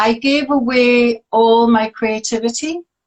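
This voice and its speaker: A woman speaks at a very slow pace in a fairly high pitch. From northern England, Newcastle. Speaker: artist and life coach. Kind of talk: interview, casual chat. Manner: hesitant, many fillers.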